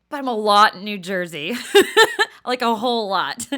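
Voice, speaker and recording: With an American accent, a woman speaks at a moderate pace in a fairly high, bright, sharp voice with an animated tone. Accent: Southern, sometimes thick. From Texas, near Dallas. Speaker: podcast host. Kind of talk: casual monologue. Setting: room with friends present.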